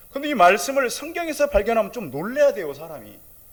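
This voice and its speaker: Speaking fairly quickly, a man lets his pitch leap in very wide swings. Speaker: pastor. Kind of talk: sermon. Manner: loud; animated.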